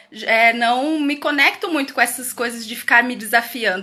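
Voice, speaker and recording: Her voice is high-pitched, and its pitch moves in an ordinary way. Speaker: educator hosting a parenting live stream. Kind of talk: live stream talk. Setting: live video stream from home. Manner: loud.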